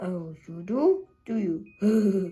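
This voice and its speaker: A female-sounding put-on character voice at a middle pitch. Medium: read story. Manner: jovial, laughing.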